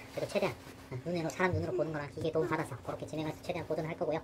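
A woman with a very deep, low pitch at a very fast pace, against noticeable background noise. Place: office. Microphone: phone near.

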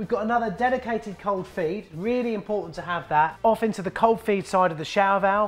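A high-pitched male voice with ordinary pitch variation and faint music in the background. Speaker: presenter. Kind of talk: tutorial. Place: workshop.

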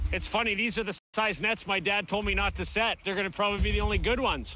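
A man speaks with faint music in the background. The sound is dry, with no echo. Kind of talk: casual on-the-job remarks. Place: open country.

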